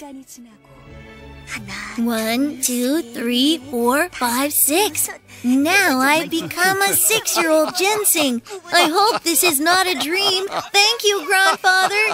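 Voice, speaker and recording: Over clear background music, a cartoonish character voice talks at a very slow pace. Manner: eager, wide-eyed, excited.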